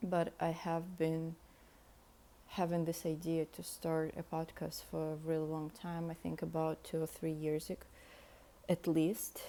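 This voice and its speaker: A woman with a fairly low pitch and a dark, mellow tone, speaking in a flat monotone at a fairly slow pace. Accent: Russian. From Russia. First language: Russian. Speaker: podcast host. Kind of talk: casual monologue. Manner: unscripted, hesitant.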